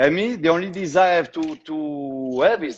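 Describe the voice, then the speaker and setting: In a strong French accent, a man talks at a moderate pace in a fairly high voice with lively intonation. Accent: thick French. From southwestern France (Tarbes). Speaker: shoe designer. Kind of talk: interview.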